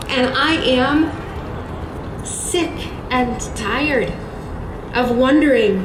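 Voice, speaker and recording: A woman talks with ordinary pitch variation. There is noticeable background noise behind her. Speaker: rally speaker. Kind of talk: emotional rally speech, consoling and rallying. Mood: emotional, earnest. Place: street. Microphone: pa.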